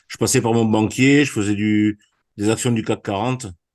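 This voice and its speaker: At a moderate pace, an ordinary speaking voice comes through against a quiet background. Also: man. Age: 60s. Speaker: amateur trader. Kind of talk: webinar self-introduction. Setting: online webinar.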